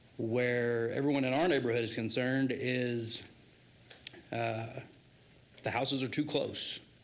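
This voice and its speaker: In an American accent, a man with a medium-pitched voice speaks in a flat monotone at a moderate pace, with noticeable background noise and audible room echo. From Idaho, Nampa area. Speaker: resident giving public testimony. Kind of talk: public comment testimony. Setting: city council meeting.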